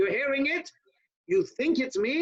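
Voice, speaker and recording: At a moderate pace, a man speaks at an extremely high pitch. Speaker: rabbi teaching a class. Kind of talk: online Torah class. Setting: video call.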